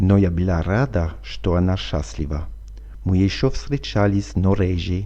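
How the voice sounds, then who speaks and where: A man speaks at a very slow pace in a very deep, low voice that is dark and mellow. His pitch swings very widely, and he sounds somewhat breathy. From France. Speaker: French teacher. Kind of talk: language lesson reading.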